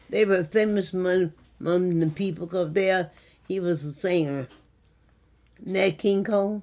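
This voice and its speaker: A woman speaks with an American accent and a dark, mellow tone at a moderate pace. Her intonation stays fairly even, broken by long, frequent pauses. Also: medium pitch for a woman. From Western New York. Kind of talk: interview answer.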